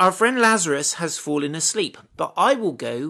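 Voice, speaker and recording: His tone is bright and sharp. The man's pitch swings very widely. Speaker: bible teacher. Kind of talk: bible study teaching. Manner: conversational, informal.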